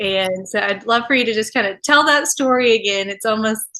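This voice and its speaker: The tone is bright and sharp as a woman speaks at a fairly high pitch with fairly even intonation. The background is quiet. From West Texas, Amarillo. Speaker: podcast host. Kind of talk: casual interview chat.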